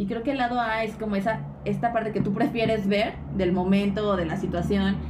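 With a Mexican accent, a woman talks at a fairly quick pace and medium pitch, with audible room echo and noticeable background noise. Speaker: podcast co-host. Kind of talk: casual chat.

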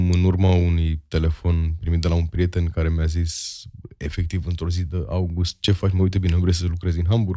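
A man with a very deep, low voice and a dark, mellow tone talks at a fairly quick clip on a very clean recording with a silent background. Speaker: stand-up comedian and advertising copywriter. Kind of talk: casual interview chat.

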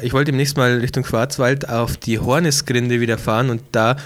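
Using a plain, everyday voice, a man talks at medium pitch and a moderate pace with fairly even intonation. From Bavaria, Ingolstadt. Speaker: podcast co-host and photographer. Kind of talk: casual chat.

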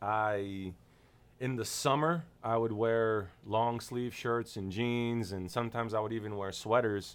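An unremarkable speaking voice at a fairly slow pace, with fairly even intonation. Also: man, medium pitch for a man. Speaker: podcast co-host. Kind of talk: casual chat.

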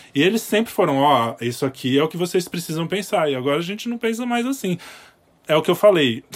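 A man talks at a very fast pace. His high voice swings very widely in pitch. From Brazil. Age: 30s. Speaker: podcast producer. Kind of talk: casual political discussion.

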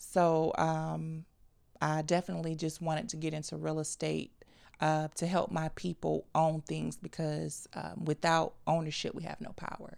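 In a very clean recording with a silent background, a woman with an American accent talks at a moderate pace. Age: 20s. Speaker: realtor. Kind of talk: casual interview. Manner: hesitant with fillers.

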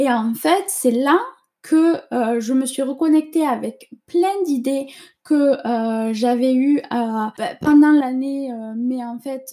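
This woman has a high pitch and a dark, mellow tone. She talks very slowly, with ordinary pitch variation. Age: 20s. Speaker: podcast host. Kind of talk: casual monologue. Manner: hesitant, many fillers.

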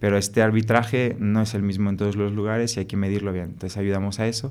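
Speaking with a French accent, a man talks in a fairly low pitch with monotone, flat intonation. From France. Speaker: startup co-founder. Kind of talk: interview conversation.

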